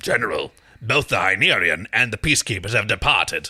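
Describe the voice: Using a put-on character voice, a man speaks at a fairly quick pace with a medium pitch.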